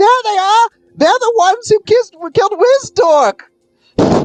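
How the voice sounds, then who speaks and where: In a put-on character voice, the speaker uses an extremely high pitch at a moderate pace. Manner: shouting, accusing.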